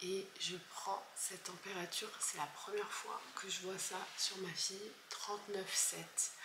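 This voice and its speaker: A soft-spoken woman with a medium-pitched voice talks very slowly in a flat monotone, with audible echo from the room. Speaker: vlogger. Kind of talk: casual vlog. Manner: halting.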